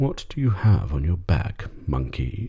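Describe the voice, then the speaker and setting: Using a put-on character voice, a man performs. The pitch goes very deep and low. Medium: read story.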